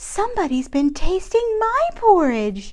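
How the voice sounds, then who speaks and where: Over light background noise, a woman puts on a squeaky character voice at an extremely high pitch, swinging very widely in pitch at a fairly slow pace. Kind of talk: bedtime story. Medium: read story.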